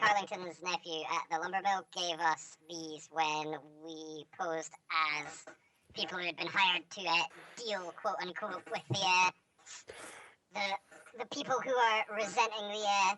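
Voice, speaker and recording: Putting on a character voice, a woman speaks at a moderate pace in a fairly low pitch with ordinary pitch variation. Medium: actual play. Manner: casual, chatty.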